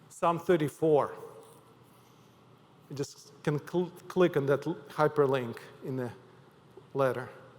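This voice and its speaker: A man with a Ukrainian accent and a fairly high pitch, fairly even intonation, a fairly slow pace and long, frequent pauses. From Ukraine. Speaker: pastor. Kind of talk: sermon. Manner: halting.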